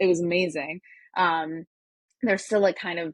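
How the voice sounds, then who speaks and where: A woman's fairly low voice in an American accent, at a moderate pace with fairly even intonation. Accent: sounds American. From Turkey (Ankara). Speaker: hardware startup advisor, engineer. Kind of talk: interview. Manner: many fillers (um, uh).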